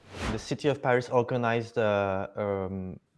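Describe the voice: A man's fairly low voice carries a clear, smooth tone and ordinary pitch variation. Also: moderate pace.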